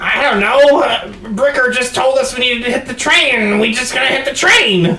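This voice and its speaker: A put-on character voice with a fairly high pitch comes at a moderate pace. Clear background noise runs underneath. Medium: actual play. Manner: stammering.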